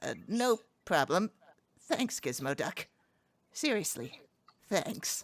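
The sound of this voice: The speaker uses a cartoonish character voice with big pitch swings. The pace is slow.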